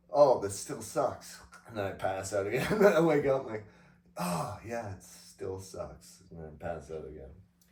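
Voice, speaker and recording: Mumbling at a moderate pace, the speaker shows very wide pitch swings and big swings in loudness, with audible room echo and noticeable background noise. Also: man, fairly low pitch for a man. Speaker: podcast co-host. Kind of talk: casual chat.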